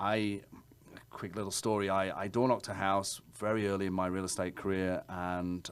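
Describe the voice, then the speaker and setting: Speaking with an English accent, a man talks at a moderate pace in a fairly low voice. The recording is very clean, with a silent background. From England. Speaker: realtor. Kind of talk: interview.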